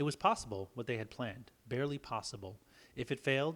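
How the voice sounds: The clip carries a natural reading voice. That voice does the reading.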